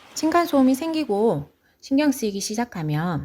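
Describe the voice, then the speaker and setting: Speaking in a Gyeongsang accent, a woman with a dark, mellow, somewhat breathy tone moves at a moderate pace with very wide pitch swings. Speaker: parent. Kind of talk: informal advice talk to camera.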